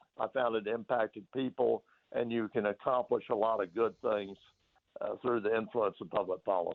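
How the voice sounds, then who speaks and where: A man talks at a moderate pace. He speaks with an East Tennessee accent. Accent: East Tennessee Southern American. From US South, Knoxville, Tennessee. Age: 70s. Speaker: former ambassador and politician. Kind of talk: radio interview. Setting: radio studio. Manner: halting, frequent fillers and repeated words.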